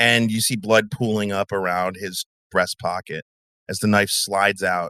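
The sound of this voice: A quiet background sits behind an unforced reading voice.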